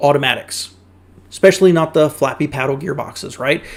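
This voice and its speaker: The speaker has an American accent and ordinary pitch variation. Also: man. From US South. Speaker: car YouTuber reacting to videos. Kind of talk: casual reaction commentary.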